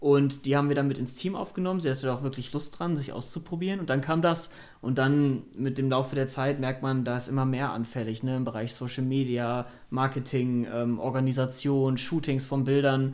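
At a moderate pace, a man with an unremarkable speaking voice talks at a medium pitch with fairly even intonation. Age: 20s. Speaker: startup co-founder. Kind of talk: interview.

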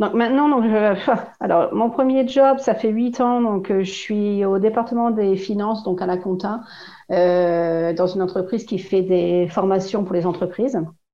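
Amid audible room echo, a woman with a medium pitch speaks at a fairly slow pace. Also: ordinary pitch variation. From northern France, Oise (Compiègne). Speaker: French expat. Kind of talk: casual chat.

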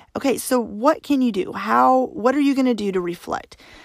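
A woman's voice makes very wide pitch swings, recorded dry and close with no echo. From Arkansas, US South. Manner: fast talker.

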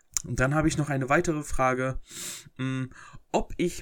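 Ordinary pitch variation at a moderate pace. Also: man. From Germany, North Rhine-Westphalia (Herford, East Westphalia). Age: 20s. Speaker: podcaster and YouTuber. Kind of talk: casual Q&A monologue. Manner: hesitant, many filler sounds.

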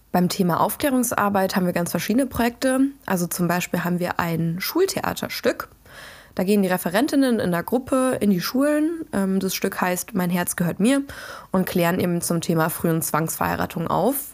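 A woman with a plain, everyday voice speaks at a moderate pace and medium pitch. Her intonation is lively and her loudness stays very even. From western Germany, Dutch border region. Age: 20s. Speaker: podcast host and student activist. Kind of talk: solo podcast monologue. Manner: casual, with frequent fillers.

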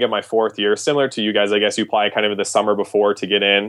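Very fast and in a flat monotone, a man with a Canadian accent speaks at a fairly low pitch. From Canada. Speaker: premed applicant guest. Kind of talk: casual interview.

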